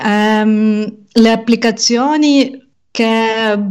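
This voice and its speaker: A woman at a fairly high pitch with fairly even intonation. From Ukraine. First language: Russian and Ukrainian (speaking Italian). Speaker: podcaster and language teacher. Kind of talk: interview conversation.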